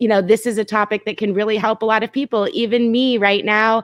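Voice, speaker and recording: A woman with a plain, everyday voice speaks at a moderate pace and a fairly high pitch, with fairly even intonation, in a dry, close sound with no echo. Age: 30s. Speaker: live stream host. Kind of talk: casual chat.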